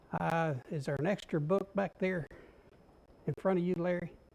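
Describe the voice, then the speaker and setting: Soft-spoken, a man talks at a moderate pace. His pitch varies an ordinary amount. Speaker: Bible class teacher. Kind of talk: Bible class lesson.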